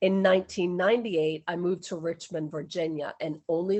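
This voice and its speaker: Fairly low in pitch, the woman speaks in a normal speaking voice at a moderate pace, her intonation fairly even. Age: 60s. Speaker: interviewee sharing city experience. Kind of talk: interview.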